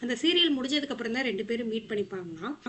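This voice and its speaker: A woman talks in a high voice with ordinary pitch variation. Background noise is noticeable. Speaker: movie recap narrator. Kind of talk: movie recap narration. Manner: casual, conversational.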